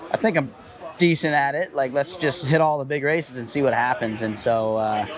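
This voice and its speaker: With an American accent, a man speaks at a fairly quick pace at a medium pitch with ordinary pitch variation over noticeable background noise. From US South, Georgia. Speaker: professional RC racer. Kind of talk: interview.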